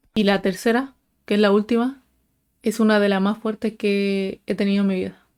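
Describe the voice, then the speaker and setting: In a very clean recording with a silent background, a woman speaks at a moderate pace. Her medium-pitched voice stays flat and monotone. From Chile, northern. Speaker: paranormal storyteller youtuber. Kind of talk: casual storytelling.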